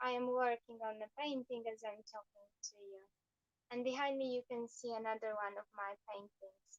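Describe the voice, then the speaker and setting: A woman with a strong Eastern European accent speaks in a high pitch at a fairly slow pace, her intonation fairly even. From Poland. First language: Polish. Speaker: painter and fashion designer. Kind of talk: livestream chat while painting. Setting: live video stream. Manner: halting.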